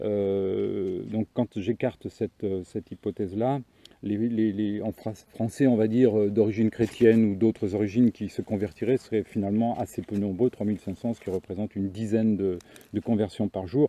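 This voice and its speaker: A man's fairly low, dark and mellow voice at a moderate pace, with fairly even intonation and a dry, close sound with no echo. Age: 60s. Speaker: author and commentator on religion. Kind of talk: video monologue. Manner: halting, many fillers and repetitions.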